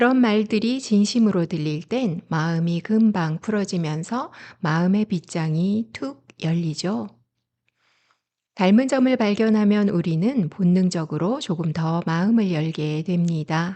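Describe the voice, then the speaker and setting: A soft-spoken woman's voice with a dark, mellow tone, lively intonation, and a very slow pace over a quiet background. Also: medium pitch for a woman. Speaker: essay narrator and wine lecturer; parent. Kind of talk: calm bedtime essay reading. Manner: soft-spoken, calm.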